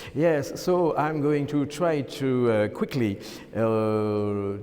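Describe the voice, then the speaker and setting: Lively intonation marks this man's speech in a French accent, with audible room echo around him. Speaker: architect. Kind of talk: lecture. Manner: halting.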